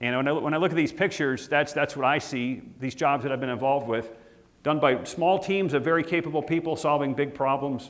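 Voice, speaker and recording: In a space with audible room echo, a man talks at a fairly quick pace with fairly even intonation. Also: fairly high pitch for a man. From Minnesota. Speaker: marine salvage executive. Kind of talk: guest lecture. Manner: fast; repetitive false starts.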